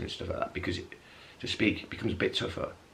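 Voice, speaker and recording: Very fast speech from a man, with noticeable noise behind it. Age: 30s. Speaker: vlogger with multiple sclerosis. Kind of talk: casual vlog. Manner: halting; mumbling at times.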